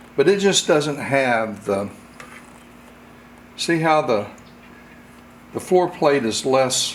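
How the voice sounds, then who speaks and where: Speaking at a fairly slow pace with long, frequent pauses, the man has a fairly high pitch. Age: 60s. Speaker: firearms hobbyist reviewer. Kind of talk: tutorial. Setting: home workshop. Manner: casual, halting.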